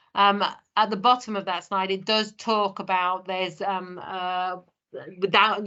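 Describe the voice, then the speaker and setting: Her pitch sits at a medium level for a woman. The woman's intonation is monotone and flat. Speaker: safeguarding manager. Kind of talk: presentation. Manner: fast.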